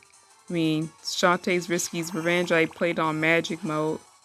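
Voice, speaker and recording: Music plays behind a woman whose pitch is fairly low. She speaks at a fairly slow pace with fairly even intonation. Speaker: gaming YouTuber. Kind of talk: casual gaming talk to camera. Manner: stuttering.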